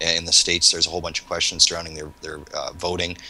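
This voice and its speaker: A man with a Canadian accent talks very fast in a very deep, low voice. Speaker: panel guest. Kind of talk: panel discussion.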